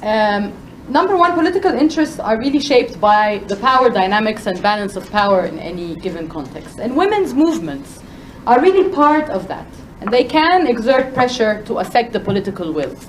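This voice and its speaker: Loud and at a fairly quick pace, a woman speaks in a fairly high pitch with very wide pitch swings over noticeable background noise. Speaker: panel speaker, women's rights advocate. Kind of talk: panel talk.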